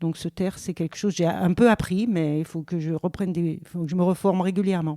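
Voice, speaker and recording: A woman's fairly low voice with a dark, mellow tone, dry and close with no echo, on a very clean recording against a silent background. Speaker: tour guide. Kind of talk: interview testimony. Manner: hesitant.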